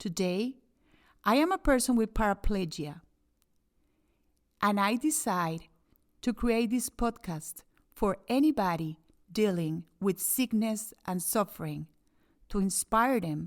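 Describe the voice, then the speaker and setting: A woman with a non-native accent, medium pitch and lively intonation, pausing long and often, on a very clean recording with a silent background. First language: Spanish. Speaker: inspirational speaker. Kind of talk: podcast monologue.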